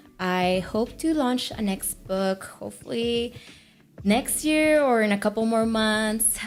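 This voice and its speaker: A woman is speaking. She has a Mexican accent. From Mexico, Tamaulipas. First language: Spanish. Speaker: author, aircraft technician and former pageant queen. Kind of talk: interview.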